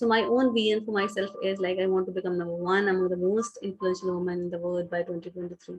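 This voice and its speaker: A woman with a Pakistani accent speaks at a very fast pace. Her medium-pitched voice has hardly any pauses. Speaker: business founder and CEO. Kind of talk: online talk. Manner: halting, many fillers.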